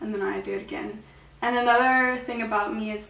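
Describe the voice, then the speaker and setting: A high-pitched woman's voice with audible room echo. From South Africa, Gauteng (Pretoria). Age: 20s. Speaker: university student. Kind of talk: casual home tour talk. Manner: casual, filler-heavy.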